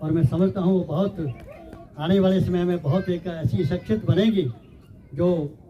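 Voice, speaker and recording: A man speaks with a high pitch and ordinary pitch variation, leaving long, frequent pauses. Noticeable background noise runs under his voice. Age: 70s. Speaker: village elder, guest speaker. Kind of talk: public speech at prize ceremony.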